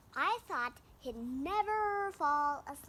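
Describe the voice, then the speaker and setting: Her put-on character voice is high-pitched. The woman delivers it at a very slow pace. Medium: read story. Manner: drowsy, gentle.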